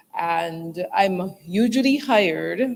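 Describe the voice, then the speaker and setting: A woman's voice at a medium pitch. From Barbados. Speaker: moderator and communicator. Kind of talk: conference moderation.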